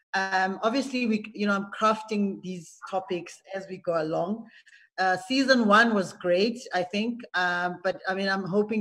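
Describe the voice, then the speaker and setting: With a quiet background behind her, a woman speaks at a moderate pace and fairly even intonation. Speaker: show host. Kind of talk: hosting a group video call. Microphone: video call.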